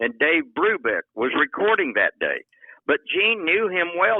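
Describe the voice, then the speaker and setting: A man talks at a moderate pace in a Texan accent. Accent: Texan Southern US. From US South, far south Texas (Rio Grande Valley). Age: 80s+. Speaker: veteran country singer-songwriter. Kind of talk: interview. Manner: casual, energetic.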